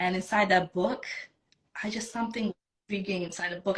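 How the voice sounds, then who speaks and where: The speech is fairly quick and somewhat breathy, with a Bosnian accent. Intonation stays fairly even. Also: woman. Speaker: self-love coach. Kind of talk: interview, personal story.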